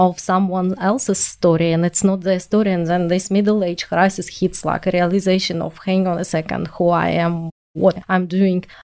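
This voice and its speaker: The speaker has a strong non-native accent. The intonation is monotone and flat. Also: woman. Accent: strong foreign. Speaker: podcast co-host. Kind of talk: interview.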